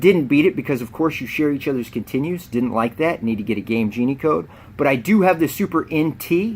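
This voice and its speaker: Talking at a fairly quick pace with hardly any pauses, a man uses a fairly high pitch and lively intonation. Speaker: video game unboxing youtuber. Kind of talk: casual vlog talk to camera. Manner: fast.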